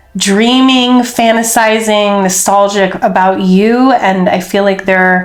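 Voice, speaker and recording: At a very slow pace, a woman with a medium pitch speaks in fairly even intonation, with audible room echo. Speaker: tarot reader. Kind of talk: tarot reading. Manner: casual, filler-heavy.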